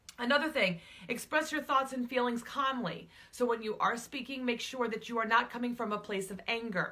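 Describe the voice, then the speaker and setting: A woman talks loudly at a fairly quick pace in a high pitch, her pitch moving in an ordinary way. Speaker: relationship coach and public speaker. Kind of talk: talking-head advice video. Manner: conversational with filler words.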